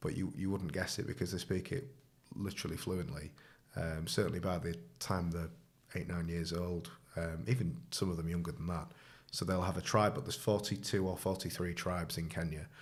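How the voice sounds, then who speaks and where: A man in a northern English accent, very deep and low in pitch, at a fairly quick pace with audible room echo. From northern England. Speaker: charity volunteer. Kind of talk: casual interview. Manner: hesitant, many fillers.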